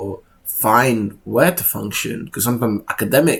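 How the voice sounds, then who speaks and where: Somewhat breathy male voice at a medium pitch, with ordinary pitch variation. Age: 20s. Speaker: vlogger. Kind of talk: personal vlog monologue. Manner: casual, halting.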